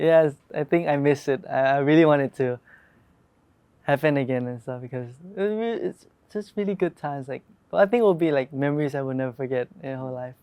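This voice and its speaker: With a Thai accent, a man talks very fast in a fairly high pitch, broken by long, frequent pauses. His loudness swings widely while his pitch variation is ordinary. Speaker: pop group member. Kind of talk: interview. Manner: halting.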